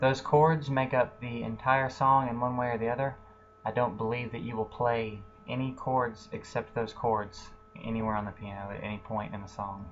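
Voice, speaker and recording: Over noticeable background noise, a man at medium pitch talks at a moderate pace with fairly even intonation. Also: big swings in loudness. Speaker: amateur piano tutorial maker. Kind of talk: tutorial. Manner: casual, hesitant with fillers; loud.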